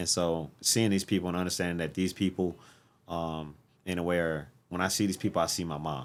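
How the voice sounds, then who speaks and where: Fairly even in intonation, a man speaks at a fairly quick pace with a very deep, low pitch. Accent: American. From St. Louis, Missouri. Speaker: military veteran and community organizer. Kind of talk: casual chat.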